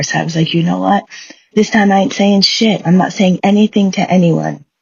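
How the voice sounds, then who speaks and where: In an animated tone, a woman speaks with a somewhat breathy voice. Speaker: tarot reader. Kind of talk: casual chat to viewers. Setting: at home.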